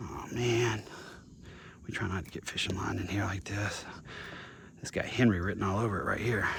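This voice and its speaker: A man with a fairly low voice speaks in a fairly even tone, taking long, frequent pauses, with audible room echo. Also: moderate pace. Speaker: vlogger, single dad. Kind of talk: casual vlog narration while working.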